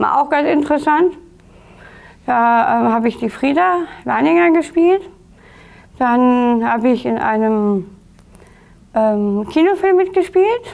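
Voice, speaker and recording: Speaking very slowly with long, frequent pauses, a woman uses a high pitch and very wide pitch swings while keeping her loudness very even. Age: 30s. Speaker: actress with Down syndrome, inclusion advocate. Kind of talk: interview. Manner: halting, many fillers.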